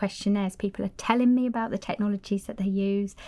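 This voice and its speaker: A woman with a northern English accent speaks in a dark, mellow tone with monotone, flat intonation. The recording is very clean, with a silent background. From northern England, Cumbria. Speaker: doctoral researcher, occupational therapist. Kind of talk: casual panel discussion.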